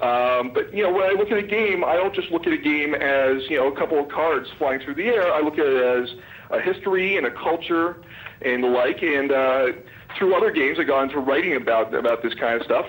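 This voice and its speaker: A fairly quick pace at very even loudness, with noticeable background noise. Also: man. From Canada. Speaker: poker historian. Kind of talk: radio interview.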